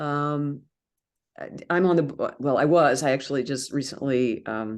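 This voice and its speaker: With an American accent, a woman speaks in a very deep, low voice with ordinary pitch variation. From United States. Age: 70s. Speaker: author and sprint runner. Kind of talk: interview answer.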